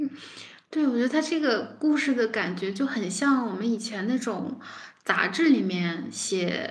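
A woman's ordinary speaking voice, fairly high in pitch, with lively intonation at a fairly slow pace. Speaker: podcast co-host. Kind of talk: casual chat.

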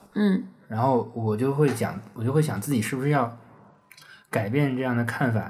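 A man's medium-pitched, somewhat breathy voice at a moderate pace, with ordinary pitch variation and long, frequent pauses. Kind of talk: casual chat.

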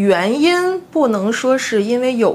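A woman speaks at a very slow pace. Noticeable background noise can be heard behind her. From Northeast China, Harbin. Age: 30s. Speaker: blogger and former full-time housewife. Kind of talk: casual interview chat.

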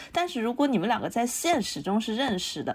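A woman talks at a very fast pace. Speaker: visual designer. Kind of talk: casual chat.

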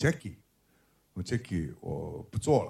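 This man's fairly low voice carries a dark, mellow tone. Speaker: film director. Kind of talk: book talk with anecdotes. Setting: bookstore event with live audience.

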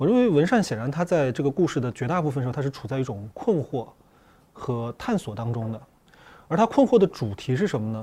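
A man's fairly high, somewhat breathy voice in a dark, mellow tone, fairly quick in pace, with very wide pitch swings. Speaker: psychological counselor. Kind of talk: panel discussion on a film.

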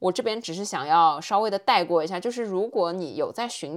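A woman's medium-pitched, normal speaking voice with lively intonation at a fairly quick pace, in a very clean recording with a silent background. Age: 30s. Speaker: podcast host. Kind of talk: casual monologue. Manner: conversational.

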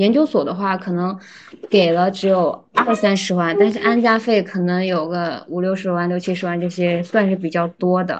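At a moderate pace, a woman with a plain, everyday voice and a medium pitch speaks with fairly even intonation. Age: 20s. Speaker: PhD student. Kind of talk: casual chat.

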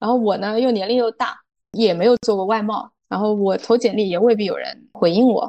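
The woman uses a normal speaking voice at a fairly high pitch, moderate pace and fairly even intonation, recorded with a dry, close sound with no echo. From rural China. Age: 30s. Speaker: foreign trade entrepreneur. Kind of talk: interview.

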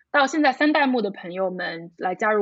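A fairly high-pitched woman with very wide pitch swings. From Shanghai, China. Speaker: video brand founder. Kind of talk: casual interview. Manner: halting with fillers.

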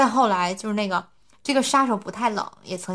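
A woman with an unremarkable speaking voice talks fairly quickly, her pitch varying in an ordinary way. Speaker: podcast host. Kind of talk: casual chat.

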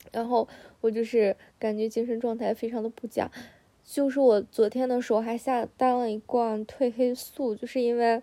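A dark, mellow tone, monotone and flat, at a moderate pace in a dry, close sound with no echo. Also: woman, fairly high pitch for a woman. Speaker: solo podcaster. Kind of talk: casual chat. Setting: lying in bed at home.

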